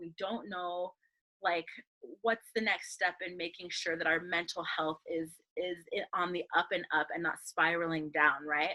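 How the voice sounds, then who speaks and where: The voice is loud, with a bright, sharp tone and a moderate pace. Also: woman. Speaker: workshop coach. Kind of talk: online workshop talk. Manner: animated.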